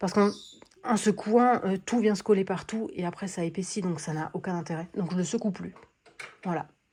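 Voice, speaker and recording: On a very clean recording with a silent background, a woman speaks at a moderate pace and medium pitch in a dark, mellow, somewhat breathy tone. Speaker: colouring vlogger. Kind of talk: casual vlog chat. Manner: hesitant, many fillers; soft-spoken.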